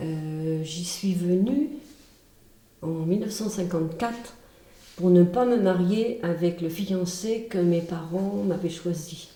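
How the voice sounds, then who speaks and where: A woman's fairly low voice at a very slow pace, with long, frequent pauses, audible room echo and noticeable background noise. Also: ordinary pitch variation. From Brittany, France. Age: 70s. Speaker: retired teacher and charity founder. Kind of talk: testimony. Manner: hesitant, with filler sounds.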